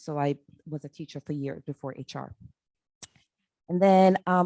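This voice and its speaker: A woman's very deep, low voice with a dark, mellow tone and a Jamaican accent, at a moderate pace with ordinary pitch variation, in dry, close sound with no echo on a very clean recording with a silent background. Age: 60s. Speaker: human resources staff. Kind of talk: meeting introductions.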